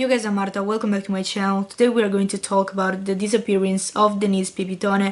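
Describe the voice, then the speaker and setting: A woman with an Italian accent talks at a very fast pace with hardly any pauses, in a medium pitch and monotone, flat intonation. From Italy. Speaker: YouTuber. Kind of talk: vlog storytelling. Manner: casual, reading from notes at times.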